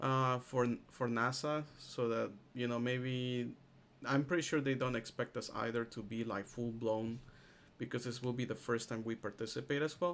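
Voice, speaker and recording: Speaking at a moderate pace, a man has a normal speaking voice, a medium pitch and fairly even intonation. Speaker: instructor teaching software class. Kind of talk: live online tutorial. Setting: video call with screen sharing.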